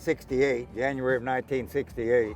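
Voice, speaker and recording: A man speaks with a Texan accent. His pitch sits in the medium range. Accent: Texan Southern. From Texas Gulf Coast. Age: 80s+. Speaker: professional bass angler. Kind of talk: casual interview. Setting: outdoors at a lake.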